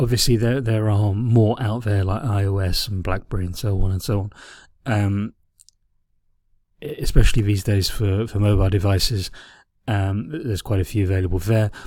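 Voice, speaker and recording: Somewhat breathy and fairly low-pitched, a man speaks at a moderate pace with fairly even intonation and long, frequent pauses. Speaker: teacher. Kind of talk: lecture. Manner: halting.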